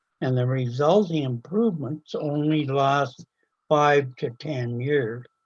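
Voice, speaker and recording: Somewhat breathy and fairly high-pitched, a man speaks at a fairly slow pace. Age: 80s+. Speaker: resident making a public delegation. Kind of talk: prepared statement at a council meeting.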